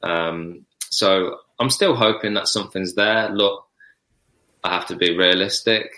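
A fairly slow man's voice, fairly low and bright and sharp in tone, with fairly even intonation, on a very clean recording with a silent background. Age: 30s. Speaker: professional footballer. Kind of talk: casual chat.

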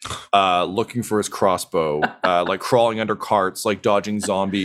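The voice reads naturally. It is a natural reading voice.

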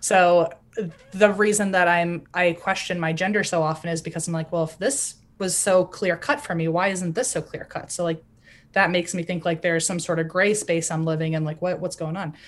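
In an American accent, a woman with a plain, everyday voice speaks at a fairly quick pace, her pitch fairly low and her intonation fairly even, against a quiet background. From US South. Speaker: podcaster. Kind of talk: interview.

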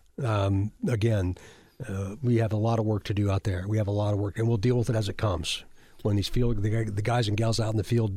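Over a silent background in a very clean recording, a man with an American accent talks at a fairly quick pace in a fairly low, dark, mellow, somewhat breathy voice with monotone, flat intonation. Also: very even loudness. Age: 60s. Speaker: state police chief. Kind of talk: interview. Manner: halting.

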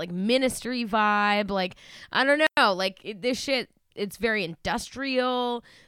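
A woman's bright, sharp voice in an American accent, with ordinary pitch variation, on a very clean recording with a silent background. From Massachusetts, Boston area. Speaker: podcast co-host. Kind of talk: casual chat.

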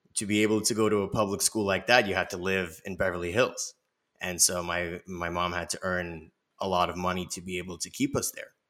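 A man with a very deep, low pitch and a bright, sharp tone talks at a fairly quick pace in a monotone, flat intonation, with an American accent. The recording is very clean, with a silent background. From Los Angeles, US. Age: 30s. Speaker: nonprofit founder. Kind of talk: interview.

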